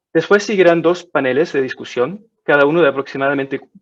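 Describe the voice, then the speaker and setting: This man has a non-native accent. His voice rises and falls in an ordinary way. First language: not Spanish (speaking Spanish). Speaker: webinar moderator. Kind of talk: moderated webinar introduction. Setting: online webinar. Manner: halting.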